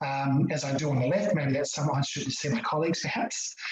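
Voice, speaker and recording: Someone speaks at a very fast pace with an Australian accent. Noticeable background noise can be heard. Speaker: chiropractor. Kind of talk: online talk. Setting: video call.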